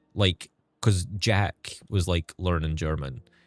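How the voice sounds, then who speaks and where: Against background music, a man speaks in a dry, close sound with no echo. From Scotland. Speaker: gaming streamer. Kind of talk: casual live-stream chat. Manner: tries to speak clearly.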